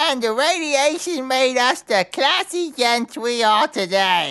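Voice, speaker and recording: A man puts on a cartoonish character voice at an extremely high pitch, speaking at a fairly slow pace. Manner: eager, dopey, blurting.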